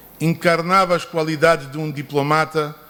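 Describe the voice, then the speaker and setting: A man's voice sits at a fairly high pitch. The pace is fairly slow. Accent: non-native. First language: not Portuguese (speaking Portuguese). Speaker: son of the book's subject, speaker. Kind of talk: formal speech. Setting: book launch ceremony. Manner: halting.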